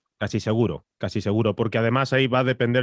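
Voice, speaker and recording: A man at a fairly quick pace with a fairly low pitch. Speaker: podcast producer and voice-over announcer. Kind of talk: masterclass lecture. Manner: fast.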